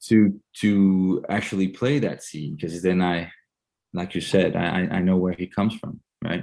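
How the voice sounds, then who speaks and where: Very deep and low, a man's voice carries a Danish accent and a dark, mellow tone. He keeps a moderate pace and fairly even intonation over a quiet background. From Denmark. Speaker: actor. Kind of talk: interview. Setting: video call. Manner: halting.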